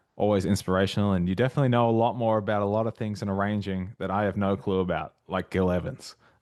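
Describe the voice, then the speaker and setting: Against a quiet background, a man with an Australian accent talks very fast in a fairly low pitch. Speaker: jazz arranger and arranging tutor. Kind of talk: casual chat and tutorial.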